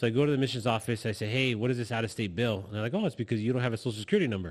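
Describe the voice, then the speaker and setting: An American-accented man, ordinary in his pitch variation, recorded very cleanly against total silence. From Los Angeles, California. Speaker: guest sharing immigrant story. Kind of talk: personal testimony in interview. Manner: halting, many repetitions.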